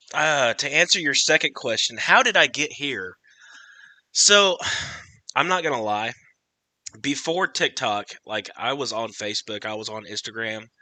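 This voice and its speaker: Loud and bright with a sharp tone, a man uses lively intonation and long, frequent pauses in a dry, close sound with no echo. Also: medium pitch for a man, moderate pace. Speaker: TikTok creator and podcast host. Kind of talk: casual chat. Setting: livestream.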